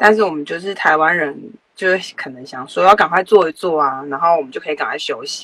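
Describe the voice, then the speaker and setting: Speaking at a fairly quick pace, a woman is heard. Her loudness swings a lot. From Taiwan. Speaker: former flight attendant. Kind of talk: interview.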